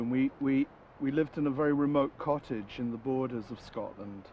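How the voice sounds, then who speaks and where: A man speaks with ordinary pitch variation over light background noise, the sound dry with no echo. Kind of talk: interview answer. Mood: relaxed, warm storytelling. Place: garden.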